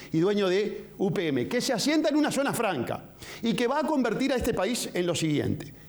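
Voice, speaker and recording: A man with a Uruguayan accent speaks with very wide pitch swings. There is audible room echo. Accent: Uruguayan Spanish (rioplatense). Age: 60s. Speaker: presidential candidate. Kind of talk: political interview. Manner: vehement.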